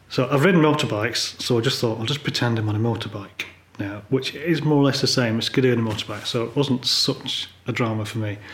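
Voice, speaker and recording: Noticeable background noise sits under a man with an English accent. He talks at a very fast pace and a medium pitch. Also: ordinary pitch variation, hardly any pauses. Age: 50s. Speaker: polar photographer. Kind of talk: interview conversation. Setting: living room.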